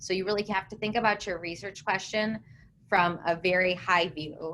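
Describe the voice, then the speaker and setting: A woman with a plain, everyday voice speaks at a moderate pace, her medium pitch following fairly even intonation. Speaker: science communicator, researcher. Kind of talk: webinar panel discussion.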